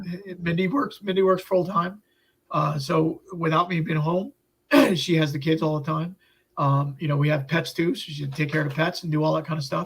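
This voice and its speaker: Talking at a fairly quick pace, a man uses a fairly high pitch with an American accent. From Upstate New York. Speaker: health journey storyteller. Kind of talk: interview. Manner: halting.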